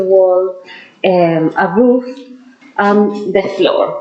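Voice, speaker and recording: A woman with a strong non-native accent speaks at a very slow pace, with music in the background and audible room echo. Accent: strong foreign. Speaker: dentist and anatomy lecturer. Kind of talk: lecture. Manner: hesitant, with frequent fillers.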